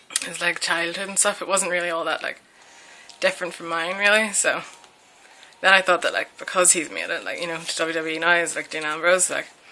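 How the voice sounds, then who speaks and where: A woman talks at a fairly quick pace in a strong Northern Irish accent. Her intonation is monotone and flat, while her loudness swings widely. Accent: broad Northern Irish. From Northern Ireland. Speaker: vlogger. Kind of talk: casual Q&A chat. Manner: casual, many fillers.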